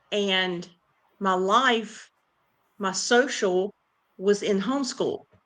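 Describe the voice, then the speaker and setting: With a Southern US accent, a woman speaks at a medium pitch. Her pace is very slow, with long, frequent pauses. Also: ordinary pitch variation. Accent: southern drawl. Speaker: podcast guest. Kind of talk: casual chat.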